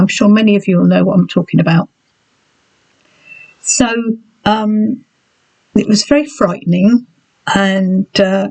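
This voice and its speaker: In an English accent, a woman with a medium-pitched voice speaks at a fairly slow pace with long, frequent pauses and very even loudness, the sound dry and close with no echo. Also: ordinary pitch variation. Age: 60s. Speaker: health vlogger. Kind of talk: personal vlog. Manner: halting.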